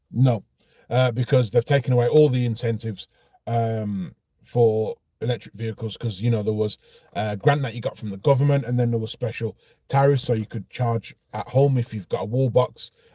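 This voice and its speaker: Speaking with a Brummie accent, a man has a medium-pitched, dark, mellow voice that is somewhat breathy. His pace is moderate and his intonation fairly even, with a dry, close sound and no echo. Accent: Birmingham (Brummie). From Birmingham, England. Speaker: car vlogger. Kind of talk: casual vlog monologue. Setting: outdoors near petrol station. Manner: hesitant, many fillers.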